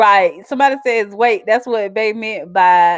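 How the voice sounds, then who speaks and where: On a very clean recording with a silent background, a woman speaks with a strong Southern accent, a fairly high pitch and ordinary pitch variation. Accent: strong Southern twang. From US South. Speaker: YouTuber. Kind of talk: casual live-stream chat. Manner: animated.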